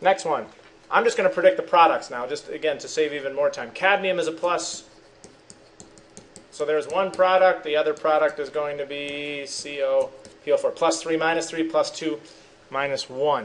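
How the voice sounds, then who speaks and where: Fairly even intonation and long, frequent pauses over noticeable background noise. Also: man, fairly high pitch for a man. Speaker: high school chemistry teacher. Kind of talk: recorded lesson going over worksheet answers. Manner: fast.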